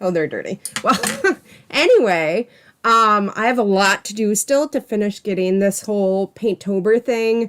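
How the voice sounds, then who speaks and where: A woman speaks at a medium pitch in an animated tone with ordinary pitch variation. Her moderate-paced delivery has a dry, close sound with no echo. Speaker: artist and art channel host. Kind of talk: livestream casual chat. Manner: loud.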